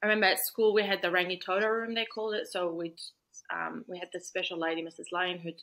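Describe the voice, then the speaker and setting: Speaking very fast with a New Zealand accent, a woman has a medium pitch, a bright, sharp tone and fairly even intonation in a very clean recording with a silent background. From Iraq, Baghdad; New Zealand from age nine. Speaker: lawyer. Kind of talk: interview.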